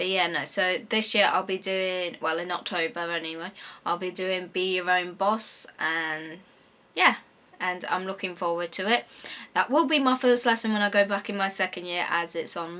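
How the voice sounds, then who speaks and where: This woman speaks at a medium pitch with ordinary pitch variation. Her tone is bright and sharp. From English Midlands, Coventry area. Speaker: university student vlogger. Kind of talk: casual Q&A vlog. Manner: fast; hesitant, many fillers.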